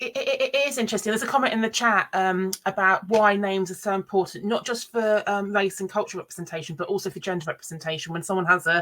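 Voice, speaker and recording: Very fast speech with hardly any pauses and ordinary pitch variation, over noticeable background noise. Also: woman, medium pitch for a woman. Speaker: education event host. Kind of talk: live online panel chat.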